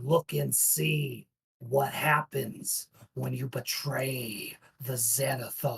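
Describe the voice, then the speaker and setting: A man puts on a character voice that is loud and raspy at medium pitch. He speaks at a very slow pace. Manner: menacing, thundering, dripping with malice and contempt.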